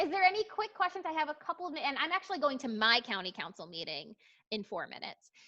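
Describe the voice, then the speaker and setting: Raised and projected, a woman's bright, sharp voice swings very widely in pitch. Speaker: platform representative presenting to a parent-teacher association. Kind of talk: online meeting presentation.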